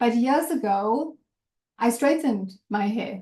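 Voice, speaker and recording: A woman's high-pitched voice at a very slow pace, with ordinary pitch variation. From South Africa. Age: 40s. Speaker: executive coach. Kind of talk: reflective talk to workshop group.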